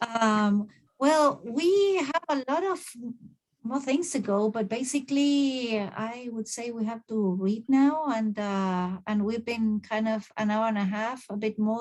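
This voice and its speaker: A woman with a Spanish accent speaks at a fairly slow pace, her pitch fairly high. Her voice is somewhat breathy, with ordinary pitch variation. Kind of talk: moderating online Q&A.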